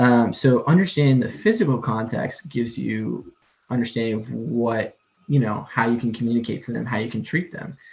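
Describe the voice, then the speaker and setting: A man with an American accent talks at a medium pitch with ordinary pitch variation. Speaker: admissions counselor, workshop presenter. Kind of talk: lecture. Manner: fast; words run together.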